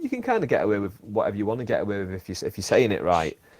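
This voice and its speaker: Speaking at a very fast pace, a man talks with a Lancashire accent. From northern England, Bolton. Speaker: podcast host and stand-up comedian. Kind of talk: casual chat.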